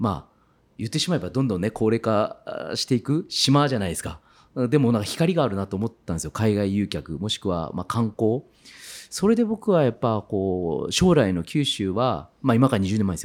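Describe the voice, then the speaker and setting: A man with a medium pitch speaks at a fairly quick pace in an animated tone, with very wide pitch swings and big swings in loudness. The recording is very clean, the background silent. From Kitakyushu, Fukuoka, Japan. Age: 40s. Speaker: farmer. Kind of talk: interview.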